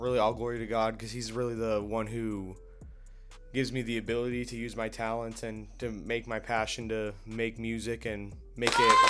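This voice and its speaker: Over music in the background, a man with an American accent speaks in a monotone, flat intonation with audible room echo. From Arizona (Tucson). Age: 20s. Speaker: rapper. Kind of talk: interview.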